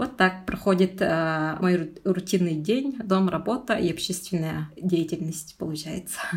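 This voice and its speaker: Somewhat breathy speech from a woman, fairly slow, with ordinary pitch variation. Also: medium pitch for a woman. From Yakutia, rural Tatta district. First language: Sakha (Yakut) (speaking Russian). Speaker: junior researcher, eco-activist. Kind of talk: personal interview.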